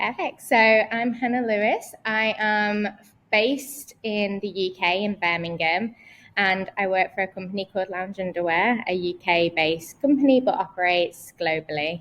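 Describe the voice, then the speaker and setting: With a British accent, a woman talks at a moderate pace. Her pitch is medium, with ordinary pitch variation. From northern England, between Manchester and Liverpool. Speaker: head of paid search marketing. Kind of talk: casual interview chat.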